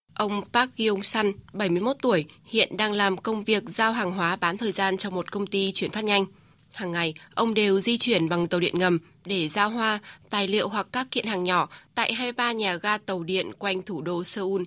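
A woman speaks at medium pitch with a bright, sharp tone and fairly even intonation, at a fairly slow pace. The recording is very clean, with a silent background. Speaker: report narrator. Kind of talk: scripted news narration.

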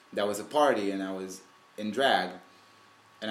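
Audible room echo surrounds a man speaking with ordinary pitch variation. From Israel, Sea of Galilee. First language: Hebrew. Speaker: drag performer. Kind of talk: interview. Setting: home.

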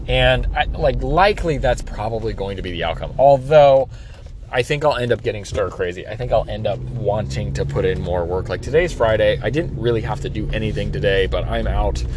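A man talks fairly quickly in a space with audible room echo, and background noise is noticeable. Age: 30s. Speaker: podcast host and pool service business owner. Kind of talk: solo monologue podcast. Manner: halting, many fillers.

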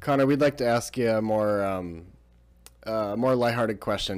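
The speaker uses a normal speaking voice with fairly even intonation. The pace is moderate. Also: man. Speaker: podcast host and student-athlete. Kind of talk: podcast interview. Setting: basement.

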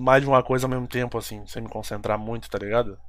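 A man's voice at a very fast pace. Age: 20s. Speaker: podcast host. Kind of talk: casual chat.

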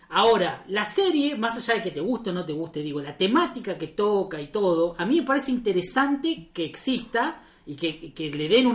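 The speaker talks at a fairly quick pace in a Rioplatense accent. Noticeable background noise runs under the voice. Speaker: recurring podcast guest. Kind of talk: casual chat.

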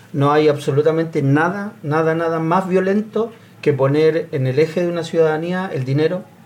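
At a moderate pace and with fairly even intonation, a man whose pitch runs fairly high talks over noticeable background noise. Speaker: sports club leader. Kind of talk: panel discussion.

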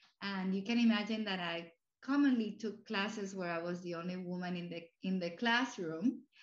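A woman at medium pitch with a Spanish accent. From Cuba and Puerto Rico. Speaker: university president. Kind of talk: casual interview.

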